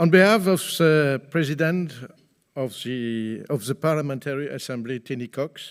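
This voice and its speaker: A man with a French accent at a fairly high pitch, his pitch varying in an ordinary way, on a very clean recording with a silent background. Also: moderate pace. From France. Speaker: politician. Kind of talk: conference speech. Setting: conference hall with audience. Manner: formal.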